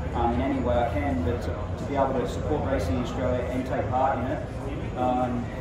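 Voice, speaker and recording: A man amid loud background noise and audible room echo. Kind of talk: interview answer. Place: street. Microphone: handheld.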